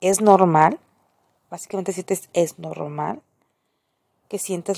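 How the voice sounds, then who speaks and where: A woman's dark, mellow tone at a fairly slow pace, dry and close with no echo. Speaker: podcaster and graphic designer. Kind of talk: casual monologue.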